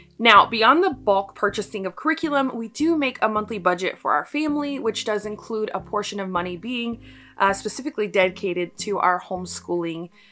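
Over faint background music, a woman talks at a fairly quick pace with hardly any pauses. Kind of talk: casual vlog chat. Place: home room.

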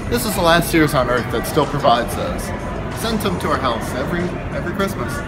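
A man speaks fairly quickly. Behind him, music plays in the background. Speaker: mock documentary host. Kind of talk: comedic mock-documentary commentary. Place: hall. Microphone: phone near.

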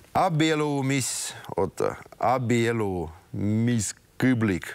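This man's medium-pitched voice carries lively intonation. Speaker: actor. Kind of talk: TV talk show guest. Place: studio.

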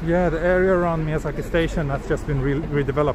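A man talks at a very fast pace with a high pitch. The sound is dry with no echo, with noticeable background noise. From Western country, not Japan. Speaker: travel livestreamer. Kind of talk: live walking stream with chat. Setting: outdoors on city streets. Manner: casual, hesitant with fillers. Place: street. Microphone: phone near.

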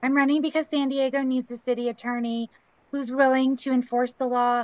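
A woman with a high-pitched voice speaks in a flat monotone, with a dry sound and no echo. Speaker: candidate for city attorney; candidate. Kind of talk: candidate self-introduction. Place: home room. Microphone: video call.

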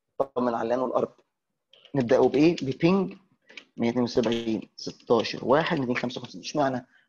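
A man talks in an Egyptian accent at a very slow pace with ordinary pitch variation. Light background noise can be heard. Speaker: networking instructor. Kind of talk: tutorial. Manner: casual. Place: classroom.

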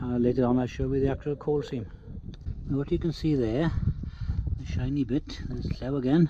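A man's voice sounds dry, with no echo, over noticeable background noise. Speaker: coastal forager guide. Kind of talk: tutorial. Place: beach. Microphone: phone near.

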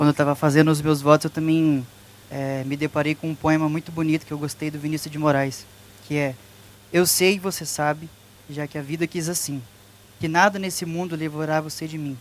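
A man speaks at a fairly quick pace in a flat monotone, the sound dry with no echo. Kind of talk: reading wedding vows. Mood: tender, emotional. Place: garden. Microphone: handheld.

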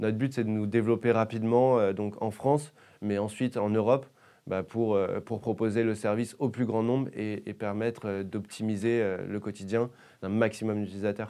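A man speaks at a moderate pace in a fairly low, dark, mellow voice with fairly even intonation over a quiet background. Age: 20s. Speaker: startup founder. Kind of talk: interview. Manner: halting, many fillers and repetitions. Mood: calm, friendly. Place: studio. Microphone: lapel.

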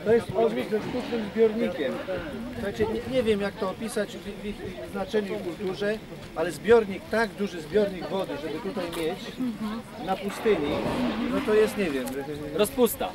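Crowd noise sits behind a moderate pace with long, frequent pauses, and the sound is dry with no echo. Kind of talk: casual travel narration. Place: waterside. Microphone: old recording.

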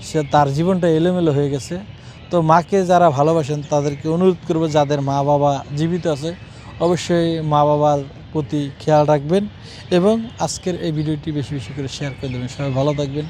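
This is a normal speaking voice. The intonation stays fairly even. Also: man, fairly high pitch for a man. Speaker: street interviewer / vlogger. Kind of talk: street interview. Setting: outdoors in a park.

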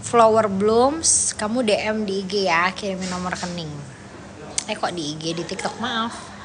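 There is noticeable background noise. A woman speaks at a fairly slow pace with ordinary pitch variation. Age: 20s. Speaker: politician. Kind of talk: livestream chat with viewers. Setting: TikTok livestream. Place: home room. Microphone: phone near.

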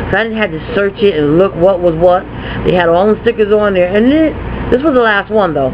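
Noticeable background noise fills the recording. Over it, a woman talks. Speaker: haul vlogger. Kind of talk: casual vlog chat. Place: home room. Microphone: webcam.

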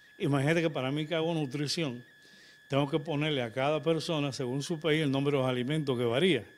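A man with a Cuban accent at a very fast pace and fairly high pitch, over light background noise. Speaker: doctor and nutritionist; guest. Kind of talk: live interview. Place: studio. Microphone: handheld.

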